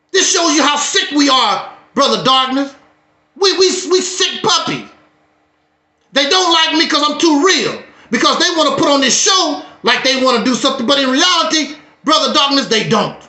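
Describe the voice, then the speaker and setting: A man speaks in an extremely high pitch at a moderate pace, with ordinary pitch variation and very even loudness. Long, frequent pauses break up his speech, and audible room echo surrounds it. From Mississippi, US South. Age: 60s. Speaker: YouTube talk show host. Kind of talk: heated talk on a livestream. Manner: animated.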